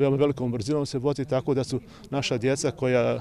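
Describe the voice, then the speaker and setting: The delivery is very fast, with fairly even intonation. Light background noise sits under a dry sound with no echo. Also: man. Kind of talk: interview answer. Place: street. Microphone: handheld.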